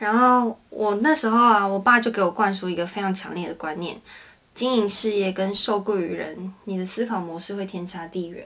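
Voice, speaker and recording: A woman uses a normal speaking voice, pitched in the medium range, with ordinary pitch variation. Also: moderate pace. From Taiwan, Hakka family. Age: 20s. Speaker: interior designer and university student. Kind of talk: casual chat.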